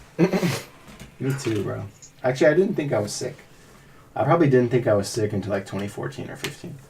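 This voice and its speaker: A man speaks in a normal speaking voice. His pitch sits at a medium level. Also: lively intonation, fairly quick pace. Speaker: podcast co-host. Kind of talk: casual chat. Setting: studio.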